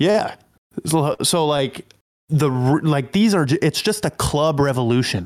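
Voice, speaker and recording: A man with a plain, everyday voice, fairly high pitch, lively intonation, very even loudness and a fairly slow pace. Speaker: crypto content creator. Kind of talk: casual podcast interview.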